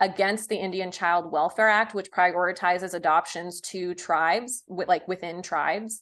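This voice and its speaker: A woman talks in a plain, everyday voice at medium pitch, with fairly even intonation and a moderate pace. The background is quiet. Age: 30s. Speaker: podcast host and comedian. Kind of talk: casual interview chat.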